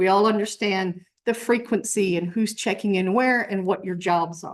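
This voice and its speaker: An unremarkable speaking voice from a woman, medium in pitch, at a fairly slow pace with fairly even intonation over a quiet background. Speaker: campus emergency management presenter. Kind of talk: presentation to faculty senate.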